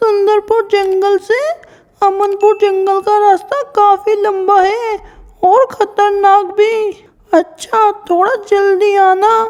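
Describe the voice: In a put-on character voice, a female-sounding speaker talks at a very slow pace with extremely high pitch and monotone, flat intonation.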